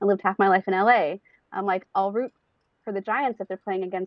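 Talking at a very fast pace, a woman of medium pitch speaks with a Californian accent. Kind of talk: casual chat.

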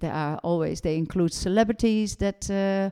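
A woman with a Dutch accent, dark, mellow tone, moderate pace and ordinary pitch variation. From Netherlands. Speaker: doctor and nutrition educator. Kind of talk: casual interview chat.

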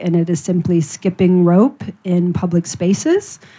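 Against a quiet background, a woman with an American accent speaks in a dark, mellow tone, her fairly low pitch held in fairly even intonation. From US Midwest, Ohio. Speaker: writer, editor and carer advocate. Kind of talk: panel talk.

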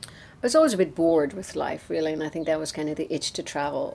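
Here a woman speaks with an Irish accent. Her pace is fairly quick. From Ireland, Newbridge (County Kildare). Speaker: temple president. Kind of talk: interview.

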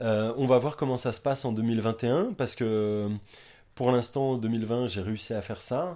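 A man's medium-pitched voice, dark and mellow in tone, at a fairly slow pace. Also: ordinary pitch variation, very clean recording, silent background. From Brittany, France (Quimper). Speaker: crêpe street food vendor. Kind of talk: casual interview. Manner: hesitant, many fillers.

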